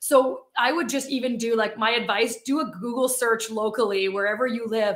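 The tone is animated and upbeat. A woman speaks at a fairly high pitch with ordinary pitch variation. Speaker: community manager at remote company. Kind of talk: casual interview chat. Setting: live video call. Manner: animated, upbeat.

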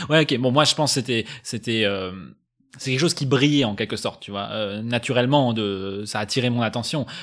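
The pace is fairly quick. A man speaks at a medium pitch with ordinary pitch variation. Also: very clean recording, silent background. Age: 30s. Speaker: podcast host. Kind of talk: casual chat. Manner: halting, many repetitions.

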